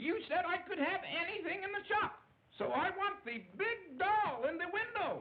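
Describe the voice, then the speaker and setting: A cartoonish character voice at an extremely high pitch and a moderate pace. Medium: puppet show. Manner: direct, spirited.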